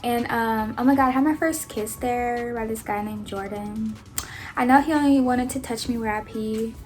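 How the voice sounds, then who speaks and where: In an American accent, a woman speaks at a moderate pace with a fairly high pitch and ordinary pitch variation. Room echo is audible. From Kansas and Alabama, US. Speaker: YouTuber. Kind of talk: storytime vlog. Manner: casual, filler-heavy.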